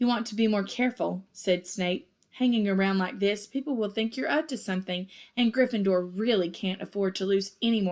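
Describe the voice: Ordinary pitch variation in plain reading aloud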